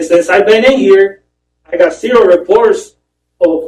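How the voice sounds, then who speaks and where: A man speaks with a strong Spanish accent. His pitch varies in an ordinary way at a moderate pace. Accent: heavy Spanish. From Mexico. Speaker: prison inmate. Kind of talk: testimony. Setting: parole board hearing. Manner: halting.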